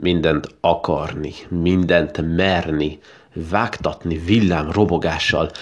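A man's very deep, low voice with a warm tone, fairly even intonation and a very slow pace. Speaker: podcast host and poetry reader. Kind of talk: poem reading, then casual podcast address. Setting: podcast recording. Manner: warm, sincere, plain-spoken in the outro.

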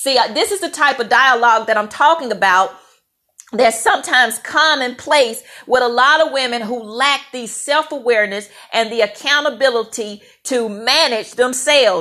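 A woman speaks loudly at a moderate pace. Her high pitch comes with a bright, sharp tone. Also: ordinary pitch variation. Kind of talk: faith-based talk to camera. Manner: loud, assertive.

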